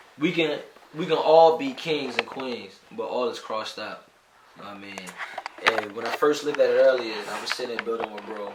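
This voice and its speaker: Noticeable background noise and audible room echo surround a man's voice. His pitch is medium with ordinary variation, and his loudness swings widely. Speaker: podcast co-host. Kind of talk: casual chat. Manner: fast; halting.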